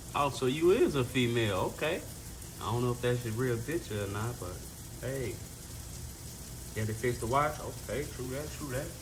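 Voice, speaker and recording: A man's relaxed, medium-pitched voice with an American accent, at a moderate pace with long, frequent pauses, ordinary pitch variation and audible room echo. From Chicago, South Side. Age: 30s. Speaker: livestreamer. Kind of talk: casual chat. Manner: relaxed, conversational.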